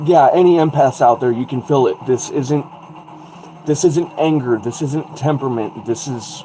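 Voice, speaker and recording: Noticeable background noise sits behind a man's fairly high-pitched voice. He keeps a moderate pace and ordinary pitch variation. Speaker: livestream host. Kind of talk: casual livestream chat. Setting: livestream over wi-fi. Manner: loud.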